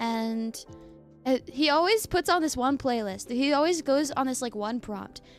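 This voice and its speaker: A woman's high-pitched voice with lively intonation at a moderate pace, music in the background. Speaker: streamer. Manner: casual, chatty.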